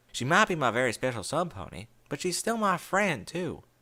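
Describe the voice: The intonation is lively in what is otherwise plain reading aloud.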